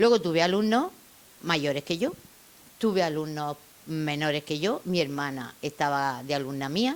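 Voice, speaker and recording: This woman has a very deep, low pitch and lively intonation, and she speaks at a fairly slow pace. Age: 70s. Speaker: retired teacher. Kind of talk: interview reminiscence. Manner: halting.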